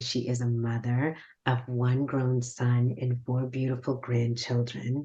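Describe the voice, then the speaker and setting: A woman with a very deep, low pitch, a dark, mellow tone, a somewhat breathy quality, monotone, flat intonation, very even loudness and a fairly slow pace. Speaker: podcast host. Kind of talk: interview.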